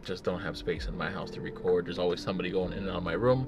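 A man is speaking over noticeable background noise. The sound is dry with no echo. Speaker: tech vlogger. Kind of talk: casual vlog chat. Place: car.

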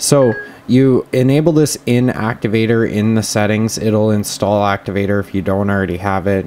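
A man's normal speaking voice, fairly low in pitch, at a moderate pace with ordinary pitch variation, over light background noise. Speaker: tech reviewer. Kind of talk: tutorial. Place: home room. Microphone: camera far.

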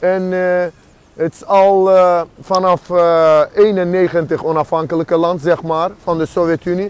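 Recorded dry with no echo, the voice moves at a fairly slow pace and swings widely in loudness. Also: man, high pitch for a man. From Azerbaijan. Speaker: political activist and street interviewer; activist livestreamer. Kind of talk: street interviews and political monologue; casual vlog chat. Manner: animated. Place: street. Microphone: earbuds.

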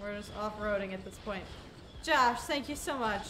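A woman speaks in a raised, projected voice. Light background noise sits behind her. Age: 20s. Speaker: gaming streamer. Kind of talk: casual livestream gameplay commentary. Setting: live stream. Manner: animated. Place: home room. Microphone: headset.

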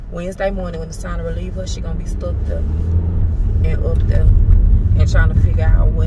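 Loud background noise runs beneath a woman's talking. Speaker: lifestyle vlogger. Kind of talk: casual vlog talk to camera. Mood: animated, venting, annoyed. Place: car. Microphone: phone near.

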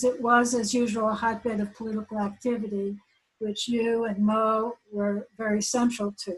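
A woman speaks at a fairly high pitch with a somewhat breathy quality. Her pace is fairly slow. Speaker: mathematician. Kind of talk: speech. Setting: video call.

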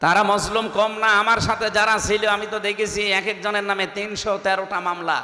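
Through audible room echo and noticeable background noise, a man speaks in a high, raised, projected voice at very even loudness. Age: 30s. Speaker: Islamic preacher. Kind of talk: sermon at a religious gathering. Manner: animated.

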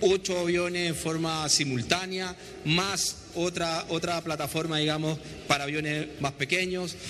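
A man with a fairly high pitch talks at a moderate pace, and noticeable background noise runs beneath him. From Chile. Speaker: airport operations manager. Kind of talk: on-location interview. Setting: on location at an airport. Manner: halting, repeats words.

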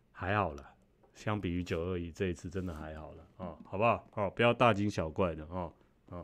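This man's pitch is very deep and low, with ordinary variation. He talks at a fairly quick pace. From Taiwan. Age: 40s. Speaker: YouTuber. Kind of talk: casual vlog monologue. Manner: halting, many fillers and repeated words. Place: home room. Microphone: studio mic.

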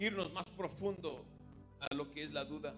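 A man's voice with clear music in the background. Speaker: preacher. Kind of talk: bilingual sermon. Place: church. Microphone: handheld.

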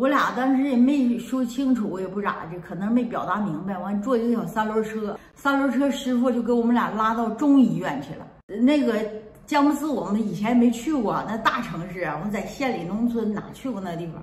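Audible room echo surrounds a woman with a Northeastern Chinese accent, who speaks at a moderate pace in a fairly high pitch with lively intonation. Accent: Northeastern Mandarin. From Heilongjiang, Northeast China (rural). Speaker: video blogger; storyteller recalling family past. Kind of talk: casual vlog storytelling. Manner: chatty, talkative. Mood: calm, reminiscing. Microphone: phone near.

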